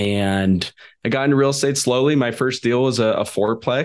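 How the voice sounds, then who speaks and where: With a plain, everyday voice, a man speaks at a moderate pace with ordinary pitch variation over a quiet background. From California, Sacramento. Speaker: real estate investor and podcast host. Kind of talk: interview.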